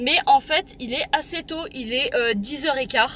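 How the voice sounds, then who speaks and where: A woman speaks in a raised, projected voice at a high pitch, with a bright, sharp tone. Her intonation is lively and her pace moderate. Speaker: vlogger. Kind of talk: vlog monologue. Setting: underground car park.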